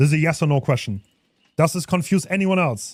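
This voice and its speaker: Speaking with a non-native accent, the man's voice sits fairly high in pitch. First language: not English. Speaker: gaming streamer. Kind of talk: live game stream commentary. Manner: casual, animated.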